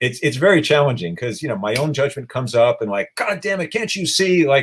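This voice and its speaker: A man talks at a fairly quick pace, his somewhat breathy voice making very wide pitch swings. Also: fairly high pitch for a man. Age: 60s. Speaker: animal rights activist. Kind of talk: interview.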